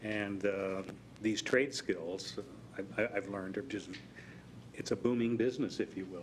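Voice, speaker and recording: A man's fairly low voice with ordinary pitch variation at a moderate pace. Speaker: school board member. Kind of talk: board meeting report. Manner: trails off.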